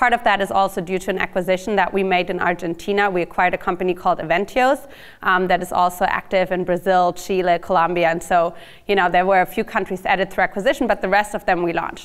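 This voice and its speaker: Spoken with a German accent at a very fast pace and fairly even intonation, the clip is a very clean recording with a silent background. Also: woman, medium pitch for a woman. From Germany. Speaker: startup marketing executive. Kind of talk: lecture.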